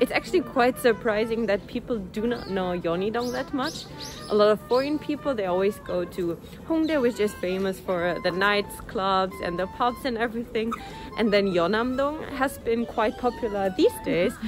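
A woman speaks at a moderate pace in a dry sound with no echo, with clear music in the background. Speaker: vlogger. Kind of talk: casual vlog chat. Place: street. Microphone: phone near.

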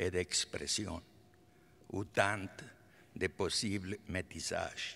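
A man with a Spanish accent talks at a very slow pace. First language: Spanish (speaking French). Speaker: artist, honorary doctorate recipient. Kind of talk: acceptance speech. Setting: concert hall stage with audience. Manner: halting. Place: hall. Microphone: podium.

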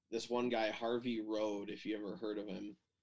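A man speaks with an Upper Midwest accent. His medium-pitched voice stays monotone and flat. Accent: Upper Midwest American. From Michigan, US Midwest. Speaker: telemark skier. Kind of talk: casual chat. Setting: video call.

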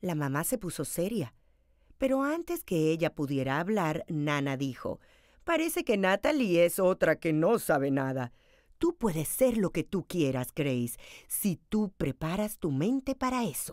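A woman with a warm, animated tone and fairly low pitch speaks at a fairly slow pace with very wide pitch swings, in a very clean recording with a silent background and a dry, close sound with no echo. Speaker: storyteller reading picture book aloud. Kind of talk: children's picture-book read-aloud storytelling. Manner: animated, expressive, varying tone for each character's dialogue; warm, clear, moderately paced narration for children.

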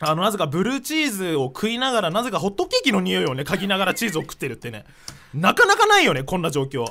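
A man speaks very fast in a raised, projected voice, high in pitch. His tone is animated, with very wide pitch swings. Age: 20s. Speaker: internet radio co-host, voice actor. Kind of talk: casual chat. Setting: studio, live-streamed recording. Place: studio. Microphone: studio mic.

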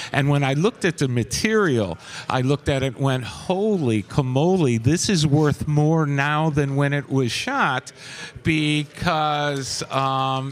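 With ordinary pitch variation, a man delivers his words at a very slow pace. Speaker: guest. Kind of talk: interview answer. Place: cafe. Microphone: studio mic.

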